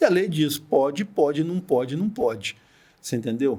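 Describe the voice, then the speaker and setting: Lively, fairly high male voice at a fairly quick pace, on a very clean recording with a silent background. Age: 60s. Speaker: deputy notary. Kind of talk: podcast interview. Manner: animated.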